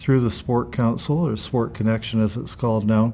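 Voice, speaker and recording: A man's medium-pitched voice, dark and mellow in tone, with a Canadian accent against a quiet background. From Canada, Ontario (London). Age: 70s. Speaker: retired sports coach and community mentor. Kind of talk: interview testimony. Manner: hesitant, many fillers and repetitions.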